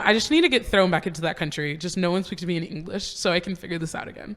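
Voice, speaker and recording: A woman with an American accent, fairly low in pitch, at a very fast pace. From US, Florida (Apopka, Orlando area). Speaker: UX designer and entrepreneur. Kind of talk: casual chat. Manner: casual, filler-heavy.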